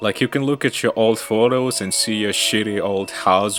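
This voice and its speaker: The speaker talks at a moderate pace with ordinary pitch variation while music plays in the background. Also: man. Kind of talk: video essay narration. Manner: casual, reflective.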